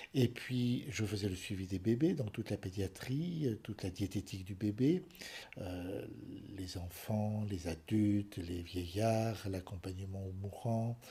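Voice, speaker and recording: A man speaks very slowly, his fairly low voice somewhat breathy. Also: ordinary pitch variation. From France, Paris suburbs. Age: 70s. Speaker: retired general practitioner. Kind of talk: interview testimony.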